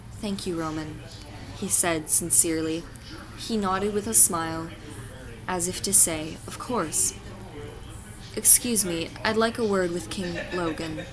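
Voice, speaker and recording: There is noticeable background noise as a woman speaks at a fairly slow pace with long, frequent pauses. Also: fairly low pitch for a woman, ordinary pitch variation. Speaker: fanfiction reader. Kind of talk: fanfiction reading.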